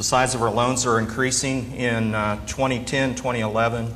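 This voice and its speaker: In an American accent, the speaker goes at a moderate pace with monotone, flat intonation, amid noticeable background noise and audible room echo. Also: man. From southern Kansas. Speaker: agricultural banker. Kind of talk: conference talk.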